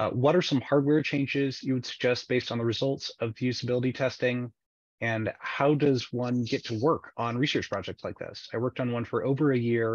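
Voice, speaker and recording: Here a man speaks in a normal speaking voice at a medium pitch and a fairly quick pace. The sound is dry and close with no echo, and his intonation is fairly even. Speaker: seminar moderator. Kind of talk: webinar moderation. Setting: video call.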